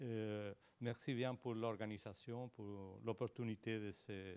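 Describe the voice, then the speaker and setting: Speaking at a very slow pace, a man talks in a fairly low voice. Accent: Spanish. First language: Spanish (speaking French). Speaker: professor. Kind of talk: conference presentation. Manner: halting, searching for words.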